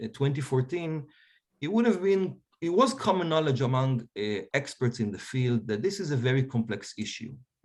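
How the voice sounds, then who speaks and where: A man with an Israeli accent, very wide pitch swings, and a quiet background. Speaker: historian. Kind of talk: panel discussion.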